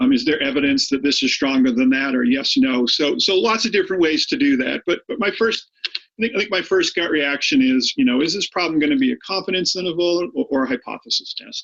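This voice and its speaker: A man with an American accent talks at a very fast pace in a high pitch. His pitch swings very widely. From Boston, Massachusetts. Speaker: high school statistics teacher. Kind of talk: lecture. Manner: hesitant, many fillers and repeats.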